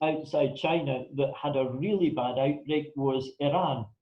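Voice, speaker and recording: A man with a northern Scottish accent, speaking at a fairly slow pace. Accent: Scottish (north). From northern Scotland (Elgin area). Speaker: pandemic planning consultant, guest speaker. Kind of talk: talk to a club audience.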